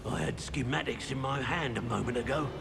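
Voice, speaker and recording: Over loud background noise, a man at a medium pitch talks in a put-on character voice at a fairly quick pace. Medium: machinima.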